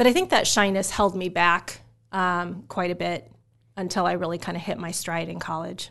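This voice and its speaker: A woman with an American accent, vocal fry and flat, monotone intonation at a moderate pace. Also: fairly low pitch for a woman. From Omaha, Nebraska (US Midwest). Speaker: pharmacy professor. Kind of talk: interview.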